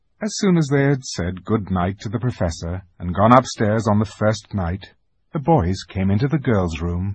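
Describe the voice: With lively intonation, a man talks in a fairly low, slightly mellow voice that has a slightly husky edge.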